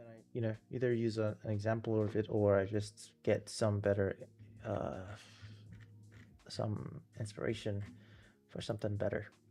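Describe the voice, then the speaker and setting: A moderate pace with long, frequent pauses, flat monotone intonation and music in the background. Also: man, fairly low pitch for a man. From Nigeria. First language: not English (third language). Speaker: game developer streamer. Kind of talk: live stream casual talk. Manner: rambling with many fillers and false starts.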